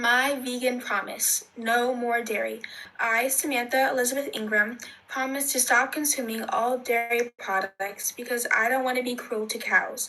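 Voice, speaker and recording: A woman does a raspy put-on character voice, high in pitch, at a moderate pace with fairly even intonation. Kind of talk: solemn, pledge-like. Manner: very slow, deliberate.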